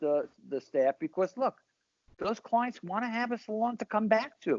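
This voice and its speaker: With a New York accent, a man with a high pitch talks at a moderate pace, his pitch swinging very widely. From Brooklyn, New York. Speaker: salon owner and hairstylist. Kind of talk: casual interview.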